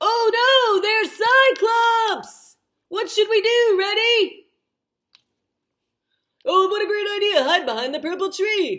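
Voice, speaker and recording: An extremely high-pitched cartoonish character voice speaks at a fairly slow pace. Long pauses come often. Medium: puppet show. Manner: bright, excitable.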